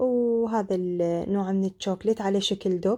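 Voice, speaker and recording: With an Iraqi accent, a woman speaks in a dark, mellow, medium-pitched tone with ordinary pitch variation. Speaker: cooking video creator. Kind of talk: cooking tutorial.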